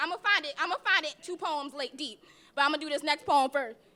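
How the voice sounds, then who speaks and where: A woman with a high pitch speaks very fast in a raised, projected voice. Her pitch varies in an ordinary way, and there is noticeable background noise. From South Jersey, Atlantic City; moved to Baltimore at twelve. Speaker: spoken word poet. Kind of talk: spoken word poetry performance. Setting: stage with audience at open mic.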